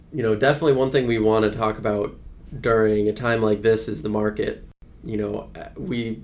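At a fairly quick pace, a man speaks with a fairly low pitch and fairly even intonation. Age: 20s. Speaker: financial advisor. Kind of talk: casual chat. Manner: halting, many fillers.

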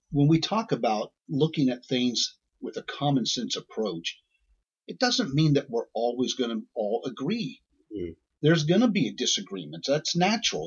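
With an American accent and vocal fry, the speaker uses very wide pitch swings at a moderate pace. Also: man. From central Indiana. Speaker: accountant and podcast co-host. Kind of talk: casual chat.

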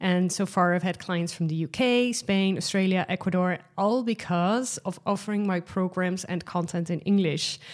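With a Dutch accent, a woman speaks at a moderate pace with hardly any pauses and fairly even intonation on a very clean recording with a silent background. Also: medium pitch for a woman. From Netherlands. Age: 30s. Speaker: podcast host. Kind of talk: solo podcast monologue. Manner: casual, frequent laughs and fillers.

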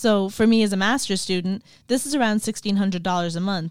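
A woman with a western Irish accent at a very fast pace, ordinary pitch variation, and a very clean recording with a silent background. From Ireland, County Clare. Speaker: podcast host, graduate student. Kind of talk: scripted narration.

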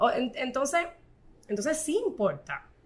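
The voice swings very widely in pitch and has a bright, sharp tone. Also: woman. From Puerto Rico, Corozal. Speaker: fashion designer and image consultant. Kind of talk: casual interview.

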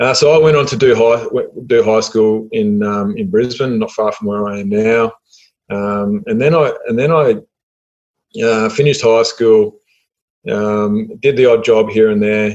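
In an Australian accent, a man speaks at a medium pitch with ordinary pitch variation. His pace is fairly slow, with long, frequent pauses. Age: 30s. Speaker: online entrepreneur. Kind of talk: interview. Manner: halting.

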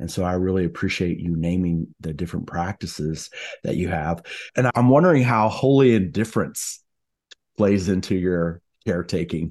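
A man speaks at a very deep, low pitch against a quiet background. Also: ordinary pitch variation, moderate pace. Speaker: podcast host.

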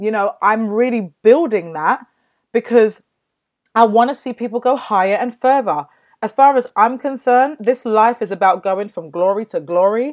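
A woman talks at a moderate pace with a fairly high pitch and lively intonation. Her tone is animated and upbeat. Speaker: podcast host and mindset coach. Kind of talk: pep talk; motivational talk. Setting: podcast, solo monologue. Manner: animated, motivational, upbeat.

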